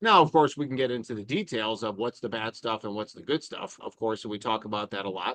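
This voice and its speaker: At a very fast pace with hardly any pauses, a man with an American accent and medium pitch shows ordinary pitch variation and big swings in loudness, in a dry, close sound with no echo. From Chicago, US Midwest. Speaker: cardiologist. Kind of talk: live Q&A. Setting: outdoors outside a coffee shop, online stream.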